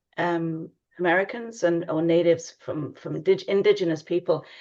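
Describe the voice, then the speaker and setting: Against a quiet background, a woman speaks with an English accent. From England. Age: 60s. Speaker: tarot reader. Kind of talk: casual chat.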